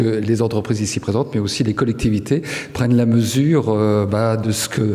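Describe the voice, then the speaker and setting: A man with a fairly low voice talks at a moderate pace over noticeable background noise. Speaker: local elected official. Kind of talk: award acceptance speech.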